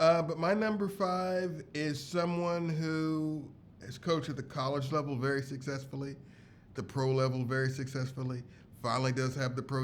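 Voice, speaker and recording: A man speaks at a moderate pace with ordinary pitch variation, and the room echo is audible. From Kentucky. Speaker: podcast co-host. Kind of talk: casual chat.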